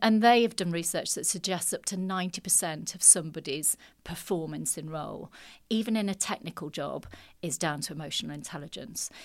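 On a very clean recording with a silent background, a woman speaks fairly quickly with vocal fry and ordinary pitch variation. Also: fairly low pitch for a woman. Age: 50s. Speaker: business coach and HR professional. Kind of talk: casual interview.

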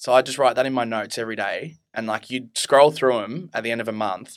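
In a very clean recording with a silent background, a man with an Australian accent speaks very fast at medium pitch. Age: 20s. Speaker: student and mental health interviewee. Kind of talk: casual chat.

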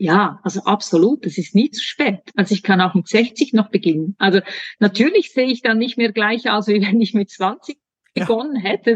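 A somewhat breathy woman at a fairly high pitch and moderate pace, with ordinary pitch variation and a dry, close sound with no echo. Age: 40s. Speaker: hormone coach. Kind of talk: casual chat.

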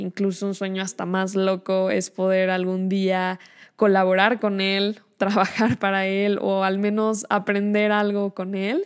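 A woman talks at a fairly slow pace in a monotone, flat intonation. The recording is very clean and the background silent. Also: medium pitch for a woman. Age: young. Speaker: podcast host. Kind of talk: solo monologue on film.

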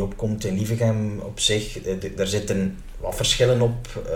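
A man speaks at a fairly slow pace in a fairly low voice. Noticeable background noise and audible room echo come through. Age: 30s. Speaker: mayor and lawyer. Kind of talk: interview.

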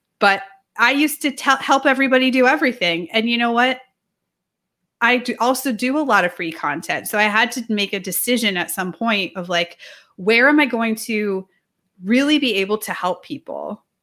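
On a very clean recording with a silent background, a woman speaks at a moderate pace, fairly high in pitch, with lively intonation and a bright, sharp tone. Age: 40s. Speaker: strength and nutrition coach. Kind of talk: casual chat.

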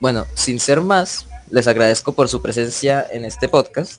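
A normal speaking voice at a fairly slow pace. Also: man. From Colombia, Santander (Barichara). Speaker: student podcast host. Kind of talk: moderated panel discussion.

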